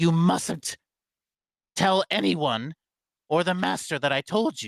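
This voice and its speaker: A man puts on a character voice with a fairly high pitch, delivered at a fairly slow pace. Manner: conspiratorial, warning.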